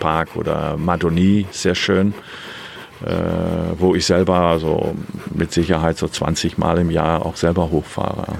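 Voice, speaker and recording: Noticeable background noise behind a man with a very deep, low pitch at a fairly slow pace. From Germany. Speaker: guesthouse owner and motorcycle rental operator. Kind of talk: interview.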